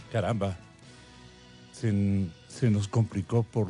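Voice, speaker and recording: The background carries music. Over it, a man talks at a very slow pace. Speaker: radio interviewer. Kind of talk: radio interviewer.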